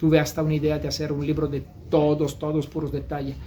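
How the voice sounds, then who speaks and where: Speaking at a moderate pace, a man talks with an Italian accent. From Italy. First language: Italian (speaking Spanish). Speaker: novelist. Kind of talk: interview. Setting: bookstore. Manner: halting.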